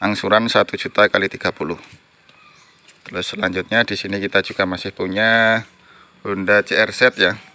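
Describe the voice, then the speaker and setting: Fairly low male voice, monotone and flat, fairly slow with long, frequent pauses, in a dry sound with no echo. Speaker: used car dealer. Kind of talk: pitchman sales patter, rattling off car listings with prices and installments. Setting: outdoors at the car lot in the rain. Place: garage. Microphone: phone near.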